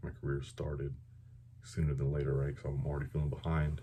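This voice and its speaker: A man speaks with a very deep, low pitch and vocal fry. The tone is dark and mellow. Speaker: air force veteran. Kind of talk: casual talk to camera.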